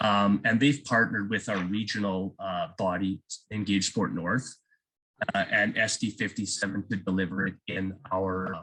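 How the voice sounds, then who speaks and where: In a bright, sharp tone, a man with a Canadian accent speaks at a moderate pace with fairly even intonation. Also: fairly low pitch for a man. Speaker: physical education teacher. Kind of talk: presentation. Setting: video call.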